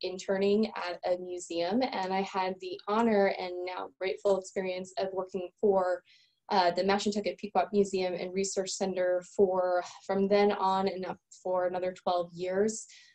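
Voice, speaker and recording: A woman speaks slowly in an unremarkable speaking voice at medium pitch. Her intonation stays fairly even. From eastern Connecticut. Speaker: museum director. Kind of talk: panel talk. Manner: frequent fillers.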